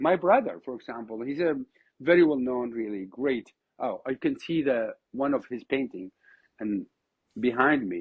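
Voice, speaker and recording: Speaking with an Iraqi accent, a man keeps a medium pitch and a moderate pace with lively intonation. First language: Arabic. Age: 50s. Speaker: oud musician. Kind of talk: podcast interview. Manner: animated, repetitive false starts.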